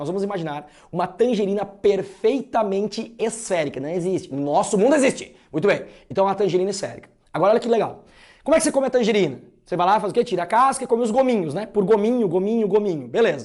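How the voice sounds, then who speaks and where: A man with a slight Santa Catarina accent speaks very fast in a high voice, his tone animated and his intonation lively. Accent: slight Santa Catarina interior. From interior of Santa Catarina, southern Brazil. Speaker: math teacher. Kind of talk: lecture.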